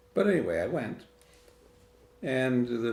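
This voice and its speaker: A man with an American accent at a medium pitch, speaking at a fairly slow pace amid audible room echo. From Michigan (Lapeer County). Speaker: interviewee in family documentary. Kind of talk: interview storytelling.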